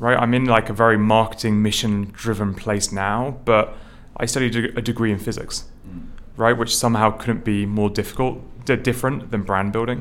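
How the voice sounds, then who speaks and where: A man speaks in a southern English accent at a moderate pace. His medium pitch stays fairly even. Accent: British English, southern English. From England, near London. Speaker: startup founder and CEO. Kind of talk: interview conversation.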